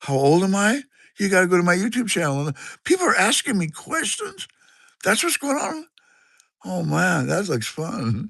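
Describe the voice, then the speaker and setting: In a Pacific Northwest accent, a man talks at a moderate pace. Long, frequent pauses break up his speech. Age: 60s. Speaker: livestreamer. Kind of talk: casual chat. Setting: live stream from a garage. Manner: rambling, halting.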